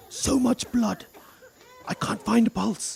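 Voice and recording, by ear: A man performs a put-on character voice at an extremely high pitch, slow, with very wide pitch swings, a husky, rough edge and vocal fry.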